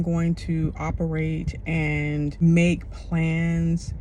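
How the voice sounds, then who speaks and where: A woman speaks over noticeable background noise. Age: 50s. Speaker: self-care coach / motivational speaker. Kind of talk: motivational talk to camera.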